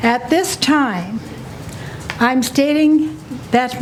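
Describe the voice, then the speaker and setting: This is a woman speaking. Noticeable background noise sits behind her voice. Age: 80s+. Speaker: citizen testifying at county hearing. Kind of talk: public testimony. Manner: not fast, deliberate; forceful, indignant.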